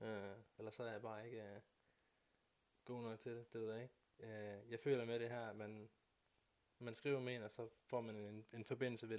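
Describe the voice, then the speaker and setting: The man's delivery is flat and monotone. He keeps to a moderate speed. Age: 30s. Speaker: podcast co-host and phone salesman. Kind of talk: casual chat.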